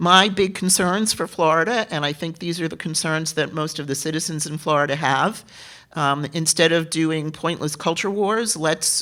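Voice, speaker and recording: On a very clean recording with a silent background, a woman with a New York accent speaks at a moderate pace, her pitch fairly low with ordinary pitch variation. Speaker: political candidate. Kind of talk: candidate forum answers. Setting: theater forum.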